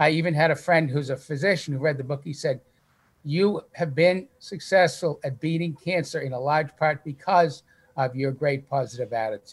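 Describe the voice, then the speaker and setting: A man with a fairly high, somewhat breathy voice talks at moderate speed. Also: ordinary pitch variation. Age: 60s. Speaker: cancer survivor and author. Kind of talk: testimony.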